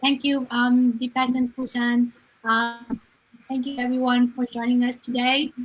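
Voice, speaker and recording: A woman with a Vietnamese accent, a high pitch, a bright, sharp tone, a raised, projected voice and monotone, flat intonation. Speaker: online business owner. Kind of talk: live stream guest answer. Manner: halting, many fillers.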